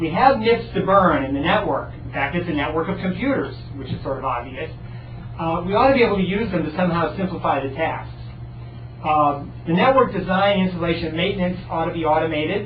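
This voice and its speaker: A man's high voice, fairly quick and with lively intonation, amid noticeable background noise and audible room echo. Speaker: research talk speaker. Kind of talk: lecture. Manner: fast.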